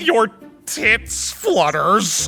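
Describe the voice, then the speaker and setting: Over faint music in the background, a man performs a put-on character voice. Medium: audio drama. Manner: stammering, awkward.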